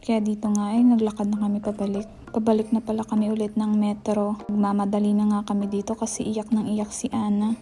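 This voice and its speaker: Quiet and whispering, a woman speaks at a fairly quick pace with hardly any pauses while music plays in the background. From Philippines. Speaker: vlogger. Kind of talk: vlog voice-over narration. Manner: whispery, hushed.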